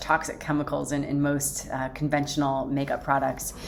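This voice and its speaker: This woman talks at a moderate pace. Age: 40s. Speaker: lifestyle vlogger. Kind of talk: casual chat. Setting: home office. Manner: hesitant, many fillers.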